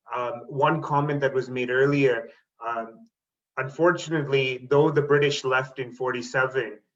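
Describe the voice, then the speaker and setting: A man with a Canadian accent speaks in a monotone, with flat intonation. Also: medium pitch for a man, moderate pace. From Canada, Toronto area (moved from India at six). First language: Tamil. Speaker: teacher and school board trustee. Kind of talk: panel talk on video webinar. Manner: hesitant, with many fillers.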